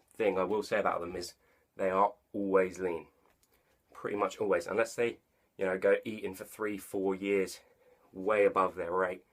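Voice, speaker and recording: With an English accent, a man with a fairly low pitch speaks in a flat monotone at a moderate pace, leaving long, frequent pauses. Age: young. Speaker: online personal trainer. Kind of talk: casual talk to camera.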